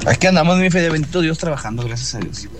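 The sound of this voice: A man talks at a fast pace in a fairly high pitch. His pitch makes big swings.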